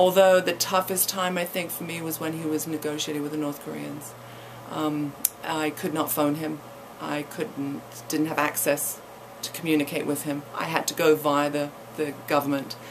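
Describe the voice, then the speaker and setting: In an East Anglian accent, a woman speaks at a very deep, low pitch with monotone, flat intonation over noticeable background noise. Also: moderate pace. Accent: English (East Anglia). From England, East Anglia. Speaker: college president's wife, former actress. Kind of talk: radio interview. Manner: halting, many fillers and repetitions.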